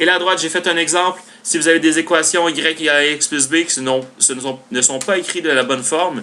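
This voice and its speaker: The speaker talks at a fairly quick pace with ordinary pitch variation. Noticeable background noise is present. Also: man. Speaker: math teacher. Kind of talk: tutorial. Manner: fast.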